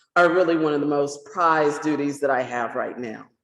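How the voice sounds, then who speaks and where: Someone speaks at a moderate pace with a South Carolina accent. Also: woman. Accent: Southern US (South Carolina). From US South. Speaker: poet. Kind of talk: poetry event talk.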